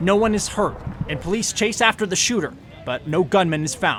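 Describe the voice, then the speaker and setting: This man's fairly quick speech has ordinary pitch variation, with music playing behind him. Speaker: TV news reporter and anchor. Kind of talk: TV news package narration.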